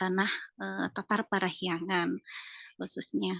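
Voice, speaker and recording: Against a quiet background, a woman with a Sundanese accent speaks at a fairly slow pace in a dry, close sound with no echo. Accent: Sundanese-accented Indonesian. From West Java (Sundanese). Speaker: art teacher. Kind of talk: interview. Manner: hesitant, many fillers.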